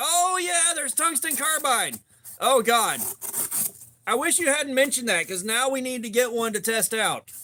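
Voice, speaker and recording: With an American accent, a man at an extremely high pitch projects a raised voice with lively intonation at a moderate pace. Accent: Southern, shifts around. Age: 40s. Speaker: knife tester livestreamer. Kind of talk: casual livestream chat. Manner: energetic; casual, profane.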